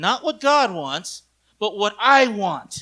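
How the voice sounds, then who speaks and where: A man's raised, projected voice carries an intense, angry tone. His sound is bright and sharp. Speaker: pastor. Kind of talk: sermon. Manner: intense, sounds angry; animated.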